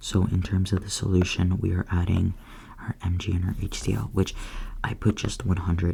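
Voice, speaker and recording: Someone whispers at a moderate pace. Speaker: student studying chemistry. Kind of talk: ASMR study session, soft-spoken educational talk. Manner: soft-spoken, casual, hesitant with filler words.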